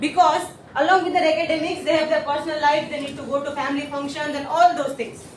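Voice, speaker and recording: A high-pitched woman at a very fast pace, monotone and flat, with big swings in loudness, noticeable background noise and audible room echo. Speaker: teacher. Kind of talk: presentation.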